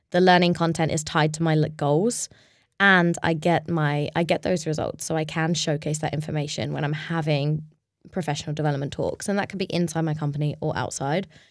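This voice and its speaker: A woman's very deep, low voice with a London accent, fairly even intonation, and a fairly quick pace, in a very clean recording with a silent background. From London, England. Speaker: startup co-founder. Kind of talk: casual interview. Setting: studio, in person.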